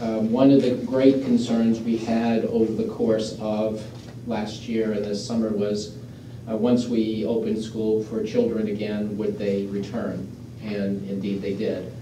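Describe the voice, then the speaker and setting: Amid light background noise and audible room echo, a man talks with monotone, flat intonation. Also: fairly slow pace. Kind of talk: report to a board. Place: meeting room.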